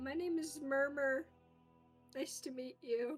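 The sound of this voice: A female-sounding put-on character voice, pitched high, moves at a fairly slow pace over faint background music.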